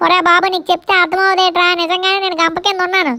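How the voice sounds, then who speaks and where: In a squeaky, put-on character voice at an extremely high pitch, a woman speaks at a fairly quick pace with monotone, flat intonation and very even loudness. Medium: comedy sketch. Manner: cheeky, bossy.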